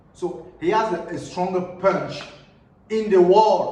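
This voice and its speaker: A man with a non-native accent and a high voice speaks amid noticeable background noise and audible room echo. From Cameroon. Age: young. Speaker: YouTuber. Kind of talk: casual vlog commentary.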